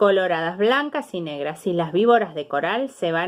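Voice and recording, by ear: The intonation rises and falls in a lively way. It belongs to someone reading aloud in a natural voice.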